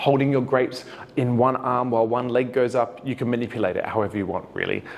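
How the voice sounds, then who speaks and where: A man with an Australian accent, medium pitch, fairly quick pace. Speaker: dance teacher. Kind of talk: tutorial. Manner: casual, conversational.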